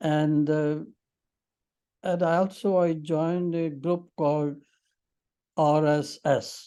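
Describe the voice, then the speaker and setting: Someone with a Punjabi accent talks at a very slow pace, with long, frequent pauses. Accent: Indian English (Punjabi). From Punjab, Pakistan/India. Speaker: interviewee, retired teacher. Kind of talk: interview. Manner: halting.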